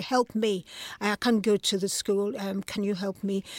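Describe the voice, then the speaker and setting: A woman with a Nigerian accent speaks at a fairly quick pace in a fairly high voice. The sound is dry and close, with no echo. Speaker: playwright and photographer. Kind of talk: interview. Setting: studio.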